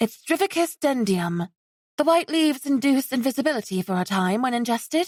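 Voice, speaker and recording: This is a put-on character voice. The pace is fairly quick. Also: woman, high pitch for a woman. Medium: read story. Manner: warm, polite.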